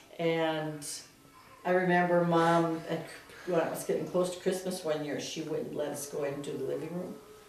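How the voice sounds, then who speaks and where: With audible room echo and noticeable background noise, a woman speaks at a moderate pace in a fairly low pitch and monotone, flat intonation. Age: 60s. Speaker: family member interviewee. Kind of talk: oral history interview.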